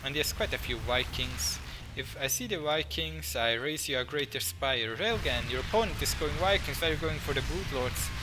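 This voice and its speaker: Male speech amid audible room echo and noticeable background noise. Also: moderate pace. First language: not English. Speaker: gaming commentator. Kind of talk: game commentary.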